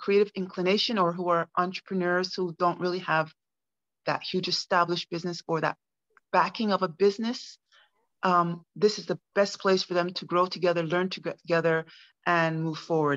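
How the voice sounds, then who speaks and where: Against a quiet background, a woman speaks at a moderate pace in a fairly low voice with monotone, flat intonation. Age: 50s. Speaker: NLP practitioner and coach. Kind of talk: business self-introduction in online meeting. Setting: video call. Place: home room. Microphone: video call.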